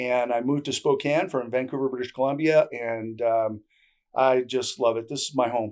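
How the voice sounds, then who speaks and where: With a Canadian accent, a man speaks in an unremarkable speaking voice at a medium pitch. His pace is moderate and his intonation fairly even. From Canada. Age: 60s. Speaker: barter trade broker. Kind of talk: interview. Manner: casual, many fillers.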